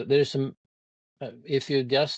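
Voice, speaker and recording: A man with a Swedish accent, dry, close sound with no echo, and a quiet background. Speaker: environmental advocate. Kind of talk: interview conversation. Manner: halting.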